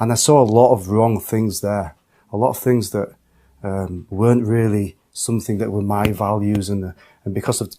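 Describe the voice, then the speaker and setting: A man with an English accent, fairly low pitch and a dark, mellow tone, at a moderate pace, in a very clean recording with a silent background. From England. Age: 30s. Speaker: convert to Islam. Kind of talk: testimony. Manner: halting.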